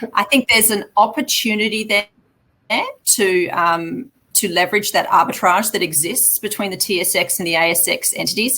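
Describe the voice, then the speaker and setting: In an Australian accent, the voice has a bright, sharp tone and ordinary pitch variation at a moderate pace. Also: woman, medium pitch for a woman. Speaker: mining company chief executive. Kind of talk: investor Q&A. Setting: live online webinar.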